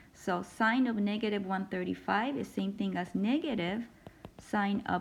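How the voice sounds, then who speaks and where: A woman with vocal fry speaks at a moderate pace with ordinary pitch variation. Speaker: math instructor. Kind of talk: lecture.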